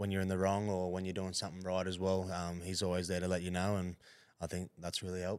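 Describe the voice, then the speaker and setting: With an Australian accent, a man talks at a very deep, low pitch. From Queensland, Australia (Hervey Bay). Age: 20s. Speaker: rugby league player. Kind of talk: casual interview.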